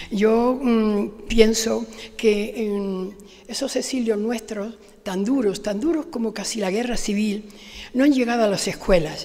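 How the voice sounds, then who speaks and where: Audible room echo surrounds a woman speaking at a very slow pace with a fairly high pitch and fairly even intonation. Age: 80s+. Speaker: award-winning author. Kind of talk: acceptance speech. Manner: halting.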